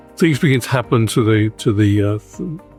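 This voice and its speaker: Music can be heard behind the voice. The man talks at a moderate pace. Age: 80s+. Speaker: dental implant patient. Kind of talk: interview answer. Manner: hesitant, halting.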